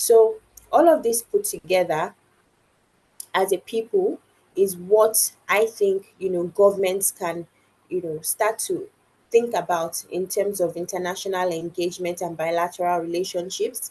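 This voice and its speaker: Her voice has a dark, mellow tone and a medium pitch. The woman speaks at a fairly slow pace with ordinary pitch variation. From Nigeria. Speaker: founder and inclusive innovation expert. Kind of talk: podcast interview.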